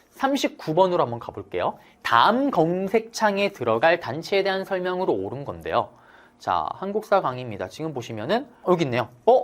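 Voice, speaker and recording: A man with a high voice speaks at a moderate pace, his pitch swinging very widely. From South Korea, Daegu. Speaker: history lecturer. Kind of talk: lecture. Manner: animated.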